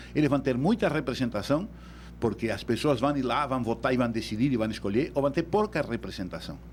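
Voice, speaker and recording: A man with a Uruguayan accent talks fairly quickly at a medium pitch, his voice showing vocal fry. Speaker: electoral law expert. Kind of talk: radio interview.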